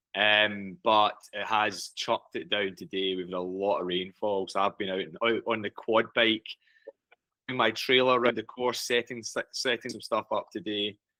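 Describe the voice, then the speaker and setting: A man with a Scottish accent, fairly low in pitch, bright and sharp in tone, fairly even in intonation, at a moderate pace, with a dry, close sound and no echo. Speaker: race director and farmer. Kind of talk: casual chat.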